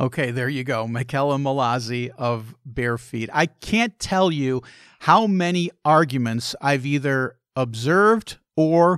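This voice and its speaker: In a very clean recording with a silent background, a man with an ordinary speaking voice talks at a fairly slow pace, his fairly high pitch moving with lively intonation. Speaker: travel and food podcast host. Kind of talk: casual interview.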